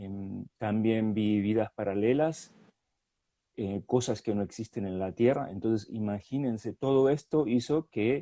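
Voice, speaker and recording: A man's medium-pitched voice moves at a fairly slow pace, with ordinary pitch variation. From Argentina. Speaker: hypnotherapist. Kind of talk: interview testimony. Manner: hesitant, many fillers.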